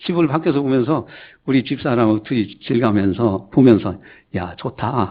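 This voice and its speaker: With an ordinary speaking voice, a man at a medium pitch speaks at a moderate pace with lively intonation. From Chungcheong, South Korea (Gongju, South Chungcheong). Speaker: pastor. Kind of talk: sermon. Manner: conversational, anecdotal.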